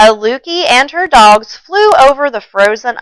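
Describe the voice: What you hear is plain reading aloud.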